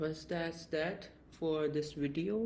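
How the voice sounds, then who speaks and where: At a very slow pace, a man with a fairly high pitch speaks in a dark, mellow tone, with audible room echo. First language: not English. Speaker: crypto trading analyst, YouTuber. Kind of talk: tutorial.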